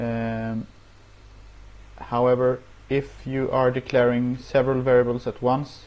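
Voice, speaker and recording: A man speaks at a fairly slow pace with monotone, flat intonation. Long, frequent pauses recur throughout. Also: medium pitch for a man. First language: not English. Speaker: programming tutorial youtuber; programming instructor. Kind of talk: tutorial. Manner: hesitant, many filler words. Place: home room. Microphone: earbuds.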